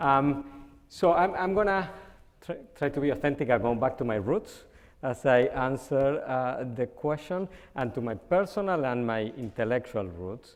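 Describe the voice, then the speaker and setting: A man with a Spanish accent speaks at a moderate pace and medium pitch with lively intonation. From Argentina. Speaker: communication scholar. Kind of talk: panel discussion.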